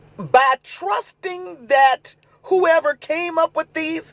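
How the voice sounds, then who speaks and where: A man is shouting loudly, with a dry, close sound and no echo. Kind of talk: preaching monologue. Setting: live video stream. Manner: loud, like yelling.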